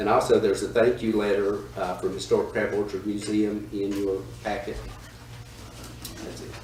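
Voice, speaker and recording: Noticeable background noise and audible room echo surround a man speaking at a moderate pace. He leaves long, frequent pauses, and his loudness swings widely. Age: 60s. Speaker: town manager. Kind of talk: council meeting report.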